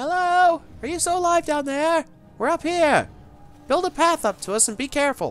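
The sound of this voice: A put-on character voice speaks at a moderate pace in a high pitch. Music plays in the background.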